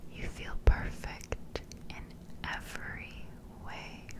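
A woman whispers at a very slow pace in a gentle, soothing tone over loud background noise. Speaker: ASMR creator. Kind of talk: guided hypnosis sleep script. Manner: gentle soothing whisper. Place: home room.

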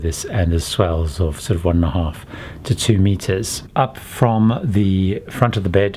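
A man speaks with a very deep, low pitch and ordinary pitch variation. There is light background noise. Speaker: travel vlogger. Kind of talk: casual tour commentary. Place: home room. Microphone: phone near.

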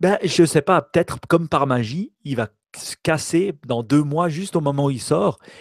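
A man with an unremarkable speaking voice talks at a fairly slow pace, his pitch fairly high and ordinary in variation, in a dry, close sound with no echo. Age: 40s. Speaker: tech podcast co-host. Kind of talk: casual chat.

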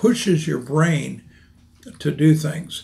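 A somewhat breathy man's voice with fairly even intonation. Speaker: presenter. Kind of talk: interview answer. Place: office. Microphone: podium.

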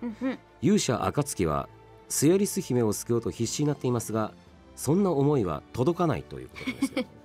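A man speaks fairly quickly over faint background music. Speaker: radio host and voice actor who plays the demon king in an anime. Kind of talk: radio show host talk. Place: booth.

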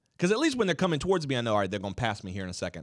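A voice with an American accent and very wide pitch swings, over a quiet background. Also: man. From US South. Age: 30s. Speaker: podcast co-host. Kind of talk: casual chat. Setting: studio. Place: studio. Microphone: studio mic.

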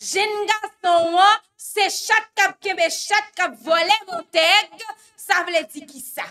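A woman's raised, projected voice, extremely high in pitch with a bright, sharp tone, ordinary pitch variation, big swings in loudness and a very slow pace. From Haiti. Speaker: news show host. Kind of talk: news commentary. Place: studio.

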